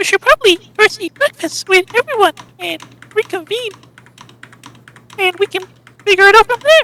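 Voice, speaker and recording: Using a put-on character voice, a woman sounds squeaky at an extremely high pitch while keeping a moderate pace. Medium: actual play. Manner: warm, slightly rambling.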